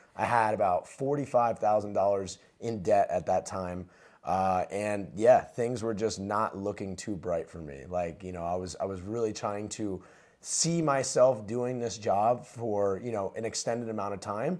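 Speaking slowly but not very slowly, at a fairly slow pace, a man with an American accent has an ordinary speaking voice, fairly low in pitch, with ordinary pitch variation, on a very clean recording with a silent background. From New Jersey. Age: 20s. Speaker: entrepreneur. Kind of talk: casual chat.

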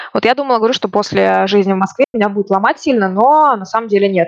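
Recorded with a dry, close sound and no echo, a woman with an ordinary speaking voice talks at a medium pitch and a fairly quick pace with ordinary pitch variation. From Russia, Ufa (Bashkortostan). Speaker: immigrant interviewee. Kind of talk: casual interview.

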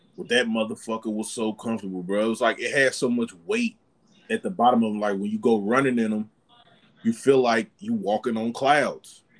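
A man with an unremarkable speaking voice, medium pitch, ordinary pitch variation and a fairly quick pace. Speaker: podcast guest. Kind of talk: casual chat. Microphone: laptop mic.

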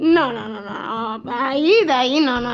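A woman speaks in a high pitch with ordinary pitch variation. There is noticeable background noise behind her. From Western Sahara (Sahrawi). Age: 20s. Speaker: blind interviewee. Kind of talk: casual chat.

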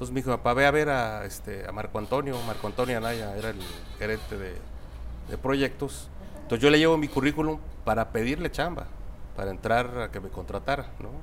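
A man speaks at a fairly quick pace but leaves long, frequent pauses. His medium-pitched voice carries vocal fry and ordinary pitch variation. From central Mexico (Guanajuato, Querétaro). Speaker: construction company CEO. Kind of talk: interview.

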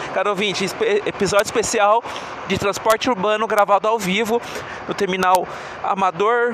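Through noticeable background noise, a high-pitched man speaks at a fairly quick pace with fairly even intonation. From Brazil, Osasco (Greater São Paulo). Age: 40s. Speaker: podcast host. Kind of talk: live walking commentary. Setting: outdoors at a bus terminal, walking. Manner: casual, chatty.

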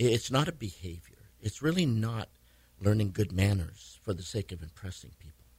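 A man with an American accent, fairly low pitch, lively intonation, and a somewhat breathy voice. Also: moderate pace, big swings in loudness. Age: 70s. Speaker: pastor. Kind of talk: casual radio interview.

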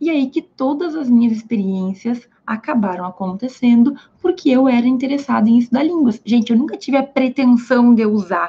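A woman's high-pitched voice has a dark, mellow tone and lively intonation, moving at a moderate pace. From Brazil, Rio Grande do Sul (Santa Maria). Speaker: law content creator. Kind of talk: livestream talk. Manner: casual, conversational.

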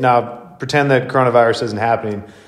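Over noticeable background noise, a man talks at a medium pitch with an American accent. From Wisconsin, US Midwest. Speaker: podcast host and fitness coach. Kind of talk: casual chat.

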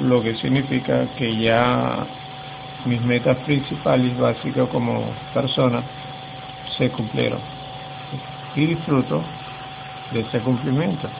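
Noticeable background noise sits behind a man speaking at a very slow pace. He leaves long, frequent pauses. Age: 50s. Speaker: family man sharing personal goals. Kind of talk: personal monologue. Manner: halting.

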